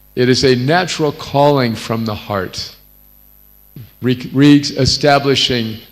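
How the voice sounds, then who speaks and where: Speaking at a fairly slow pace over music in the background, a man with an American accent shows ordinary pitch variation. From North America. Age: 70s. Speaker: visiting spiritual teacher. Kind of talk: religious discourse.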